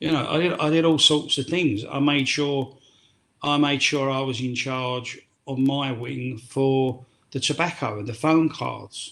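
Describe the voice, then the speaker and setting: With a London accent, a man with a fairly high pitch speaks at a fairly slow pace and fairly even intonation. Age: 60s. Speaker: former prisoner turned tour guide. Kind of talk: podcast interview. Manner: halting.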